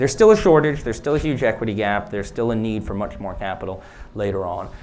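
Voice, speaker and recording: Man with an American accent, fairly low pitch and lively intonation, audible room echo. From United States. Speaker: startup CEO and co-founder. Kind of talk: conference Q&A answer.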